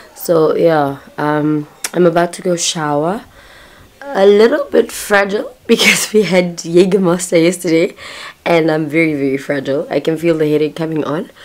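The woman's fairly low voice moves at a moderate speed, its pitch varying in an ordinary way. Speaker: vlogger. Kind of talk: casual vlog chat. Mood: relaxed, a bit hungover. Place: home room. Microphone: phone near.

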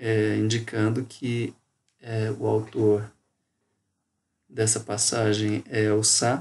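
Over a quiet background, a man speaks in a fairly low, somewhat breathy voice. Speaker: university geography professor. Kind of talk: recorded lecture. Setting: home bedroom. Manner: casual, conversational.

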